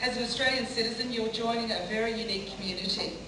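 A woman talks at a fairly quick pace, with audible room echo and noticeable background noise. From Australia. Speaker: politician. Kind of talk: ceremonial speech. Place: hall.

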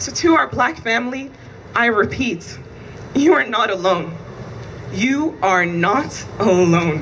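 Very wide pitch swings mark this voice, with light background noise behind it. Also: woman. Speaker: vigil co-host. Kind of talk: rally speech. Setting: outdoor vigil with crowd. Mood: solemn, earnest. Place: street. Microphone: pa.

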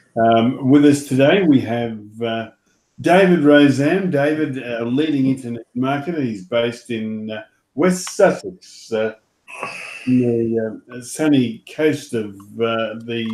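A man at a fairly slow pace with ordinary pitch variation and audible room echo. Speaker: show host. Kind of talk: host introduction. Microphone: video call.

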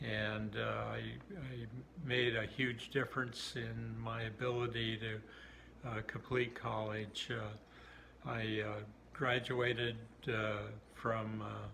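A man speaks at a very slow pace with an Upper Midwest accent. Light background noise can be heard. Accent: Upper Midwest American. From southern Minnesota, USA. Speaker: US Navy submarine veteran. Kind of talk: interview answer. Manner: hesitant, many fillers. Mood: warm, reminiscing. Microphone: phone near.

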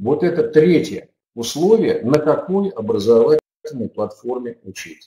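Speaking at a fairly slow pace, a man with a fairly high pitch and a dark, mellow tone makes very wide pitch swings, with audible room echo over a quiet background. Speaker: webinar host, education expert. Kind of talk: webinar presentation and moderation. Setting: online webinar. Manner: formal. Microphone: video call.

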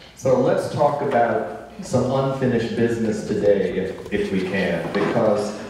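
A man at a fairly slow pace amid strong room echo and light background noise. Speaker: panel moderator. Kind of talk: moderated panel discussion. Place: stage.

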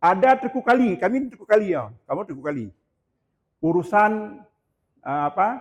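With very wide pitch swings and big swings in loudness, the speech moves at a moderate pace broken by long, frequent pauses. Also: man, high pitch for a man. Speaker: local historian. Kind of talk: lecture. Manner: halting.

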